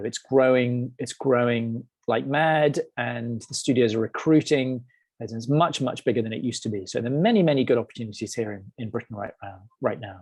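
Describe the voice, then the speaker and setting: With an American accent, a man speaks at a moderate pace and medium pitch, his intonation fairly even. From England. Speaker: head of animation, webinar presenter. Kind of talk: webinar Q&A. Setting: online webinar. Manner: hesitant, many fillers and repeats.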